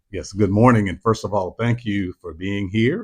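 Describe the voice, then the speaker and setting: A plain, everyday voice from a man with an American accent, fairly low in pitch, with ordinary pitch variation. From US South, Tallahassee, Florida. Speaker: assistant pastor. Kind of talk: interview.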